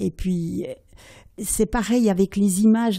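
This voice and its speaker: On a very clean recording with a silent background, a woman speaks at a fairly slow pace in a medium-pitched, dark, mellow, somewhat breathy voice with ordinary pitch variation. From Switzerland. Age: 80s+. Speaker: storyteller. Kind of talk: interview answer.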